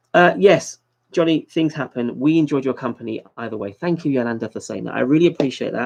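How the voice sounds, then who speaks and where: A man with a British accent, fairly high-pitched, at a fairly quick pace. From London, England. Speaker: YouTuber livestream host. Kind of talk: casual livestream chat.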